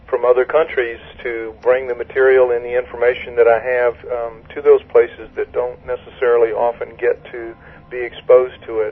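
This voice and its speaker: Delivered at a moderate pace, the speech has noticeable background noise behind it. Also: man. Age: 60s. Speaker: author and researcher. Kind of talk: radio interview. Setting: phone call.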